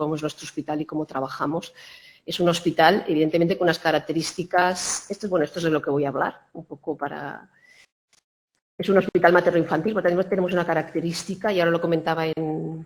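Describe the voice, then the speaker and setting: A woman's fairly low voice at a very fast pace, with fairly even intonation. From Spain, Granada (Andalusia). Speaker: hospital quality director. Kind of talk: conference talk. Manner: halting, many false starts.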